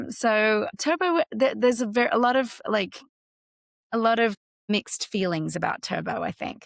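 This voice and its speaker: Delivered at a moderate pace with lively intonation in an Australian accent, the voice sounds dry and close with no echo. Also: woman, fairly high pitch for a woman. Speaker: actress, voice actor. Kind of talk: interview answer.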